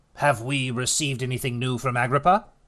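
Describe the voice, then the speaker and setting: Putting on a character voice, a man talks at a fairly quick pace in a medium pitch with ordinary pitch variation. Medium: read story. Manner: terse, authoritative.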